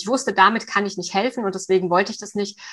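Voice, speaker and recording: Her tone bright and sharp, a woman speaks at medium pitch with fairly even intonation. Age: 50s. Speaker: coach for eating disorders. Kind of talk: interview.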